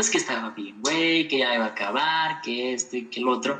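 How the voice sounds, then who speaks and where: A man is talking, and noticeable background noise can be heard. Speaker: podcast guest, university graduate. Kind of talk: casual interview.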